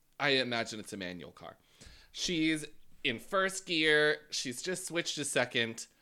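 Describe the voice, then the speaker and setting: Animated, bright and sharp in tone, with big swings in loudness and lively intonation, on a very clean recording against a silent background. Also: man, fairly high pitch for a man, fairly slow pace. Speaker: podcast co-host, drag race recap. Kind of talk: casual chat.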